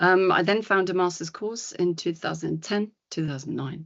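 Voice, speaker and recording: A woman's fairly low voice in a German accent, moderate in pace and fairly even in intonation. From Germany. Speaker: psychologist and coach. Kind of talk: podcast interview. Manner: hesitant, many fillers.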